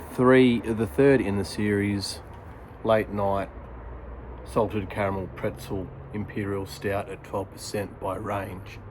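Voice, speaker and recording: At a very slow pace, a man with a fairly low pitch speaks with an Australian accent. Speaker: product reviewer and audiobook-style reader. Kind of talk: casual talk to camera, review intro and chat. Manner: softly spoken, relaxed.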